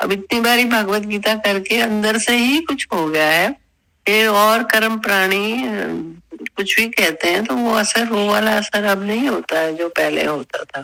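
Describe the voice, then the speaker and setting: The woman's tone is bright and sharp. Her pitch sits in the medium range, and her intonation is lively. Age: 70s. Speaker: discussion participant. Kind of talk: group discussion on scripture. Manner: calm and orderly.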